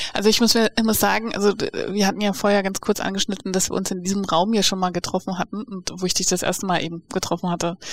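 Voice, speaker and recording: A woman's flat, monotone delivery, very fast with hardly any pauses, in a dry, close sound with no echo. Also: medium pitch for a woman. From Namibia. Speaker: podcast host. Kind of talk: interview. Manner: laughs often.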